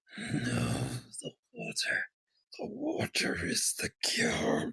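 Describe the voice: A gruff, raspy put-on character voice from a man at a very slow pace, with a dry, close sound and no echo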